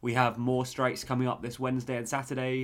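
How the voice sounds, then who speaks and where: Speaking in a British accent, the man keeps to a medium pitch. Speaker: podcast host. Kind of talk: casual chat. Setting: remote recording.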